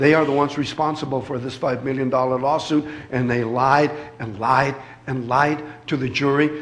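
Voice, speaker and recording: The man's voice is fairly high and flat in a monotone, moving at a fairly quick pace. Noticeable background noise runs underneath. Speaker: family member or supporter of a border agent, speaking at a church event. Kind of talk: emotional public address at a church event. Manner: emotional, agitated.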